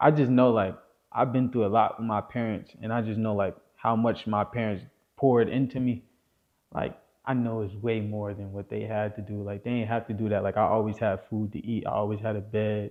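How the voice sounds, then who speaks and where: Talking at a fairly quick pace, a man with a New Jersey accent keeps a fairly low pitch and a monotone, flat intonation. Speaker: rapper. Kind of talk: casual interview.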